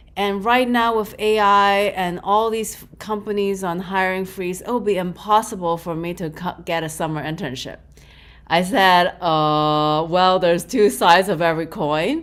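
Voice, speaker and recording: At a moderate pace, a woman speaks with a medium pitch, ordinary pitch variation and big swings in loudness. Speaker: spiritual teacher and career mentor. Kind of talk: teaching talk in a live online session. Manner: animated; halting, searching for words.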